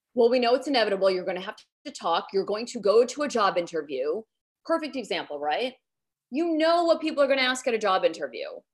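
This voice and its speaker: Talking at a very fast pace, a woman with a fairly high pitch and vocal fry swings her pitch very widely. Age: 40s. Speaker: public speaking coach, former TV journalist. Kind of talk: interview.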